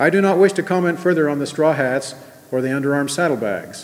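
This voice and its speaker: A man at a moderate pace, his pitch varying in an ordinary way. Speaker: speaker. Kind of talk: sermon. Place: hall. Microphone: podium.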